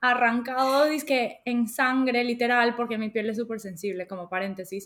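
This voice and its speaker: A woman's high-pitched voice has a bright, sharp tone. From Latin America. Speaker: podcast co-host. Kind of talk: casual chat.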